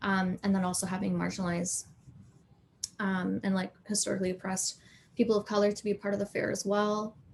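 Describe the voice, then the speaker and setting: A woman's somewhat breathy, medium-pitched voice, flat and monotone at a fairly quick pace. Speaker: community artist and organizer. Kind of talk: panel discussion. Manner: casual, many fillers.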